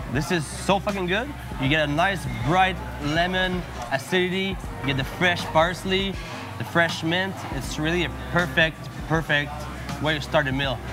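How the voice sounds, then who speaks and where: With clear music in the background, a man talks at a moderate pace and ordinary pitch variation, leaving long, frequent pauses. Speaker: food vlogger host. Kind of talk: casual tasting commentary. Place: bar. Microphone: lapel.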